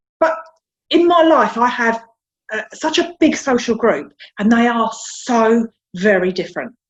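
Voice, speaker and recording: The speaker has a South London accent and an animated tone, with very wide pitch swings. The pace is fairly slow, with long, frequent pauses. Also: woman, fairly high pitch for a woman. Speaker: interview guest sharing life story. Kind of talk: casual interview conversation.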